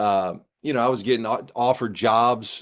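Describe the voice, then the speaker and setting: An unremarkable speaking voice at a moderate pace, with ordinary pitch variation and a quiet background. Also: man. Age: 60s. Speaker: former basketball coach. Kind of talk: interview. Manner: casual, conversational.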